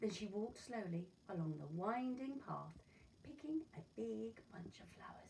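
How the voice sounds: The speaker uses a natural reading voice. It is heard throughout.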